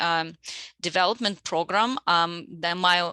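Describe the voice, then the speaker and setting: A Russian accent at a fairly slow pace, with a bright, sharp tone and fairly even intonation, in a dry, close sound with no echo and a very clean recording with a silent background. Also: woman. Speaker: media development consultant. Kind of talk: self-introduction pitch. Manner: halting.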